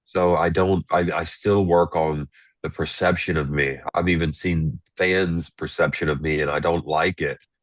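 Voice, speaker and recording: A man talks at a moderate pace in a very deep, low pitch. His intonation is monotone and flat over a quiet background. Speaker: reality show contestant. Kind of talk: interview.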